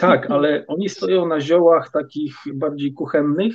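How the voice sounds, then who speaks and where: A man talks very slowly in a fairly high register. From Poland. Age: 50s. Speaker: supplement producer and herbalism student. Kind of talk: podcast interview. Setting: studio.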